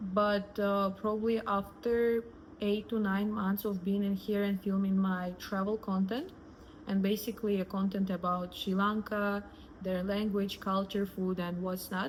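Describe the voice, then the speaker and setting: A woman's somewhat breathy, medium-pitched voice in a Russian accent, fairly slow, with monotone, flat intonation and very even loudness. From Russia, Moscow. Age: 20s. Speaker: influencer. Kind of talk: personal storytelling.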